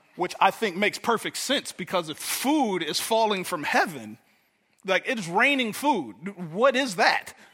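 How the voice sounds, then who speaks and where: Speaking with an American accent, a man uses a raised, projected, high-pitched voice with a bright, sharp tone. His intonation is lively, and his pace is moderate. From Detroit, US. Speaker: pastor. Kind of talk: sermon. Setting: church.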